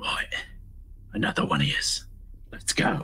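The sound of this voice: Whispering in a raspy, put-on character voice, the speaker keeps a moderate pace.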